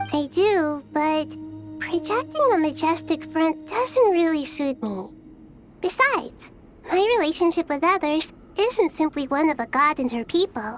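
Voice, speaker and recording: A female-sounding put-on character voice speaks at an extremely high pitch and a moderate pace. Background noise is clearly audible. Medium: video game. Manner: soft, friendly, unpretentious.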